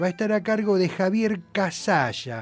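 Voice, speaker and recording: A man talks at a fairly slow pace. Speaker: radio host. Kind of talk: radio music show presenting.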